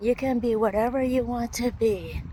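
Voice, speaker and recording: Noticeable background noise underlies words delivered at a fairly slow pace. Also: woman. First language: not English. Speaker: vlogger. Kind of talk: casual vlog monologue.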